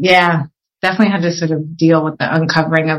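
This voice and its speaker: Somewhat breathy, a woman speaks with an American accent and a fairly low pitch. Her pace is fairly quick. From Pennsylvania, US (Philadelphia area). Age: 40s. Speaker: social entrepreneur. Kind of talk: interview. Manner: halting.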